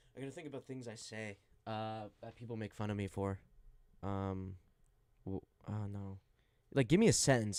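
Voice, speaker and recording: A man with a slight Midwestern accent talks at a fairly quick pace and fairly low pitch, with ordinary pitch variation. His loudness swings widely, and he leaves long, frequent pauses. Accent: slight Midwestern, from Wisconsin father. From Arizona. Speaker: college radio sports host. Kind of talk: casual sports talk show.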